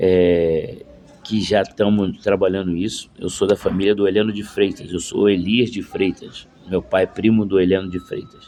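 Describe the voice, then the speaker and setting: Moderate pace from a man with a fairly low pitch and monotone, flat intonation. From Rio de Janeiro, Brazil. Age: 60s. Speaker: former footballer and football coach. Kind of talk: casual video monologue. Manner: halting, many fillers.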